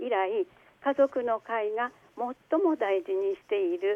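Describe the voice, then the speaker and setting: A woman with a fairly high pitch speaks at a fairly slow pace, her pitch swinging very widely between long, frequent pauses. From Aomori, northern Japan. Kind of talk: interview. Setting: phone call.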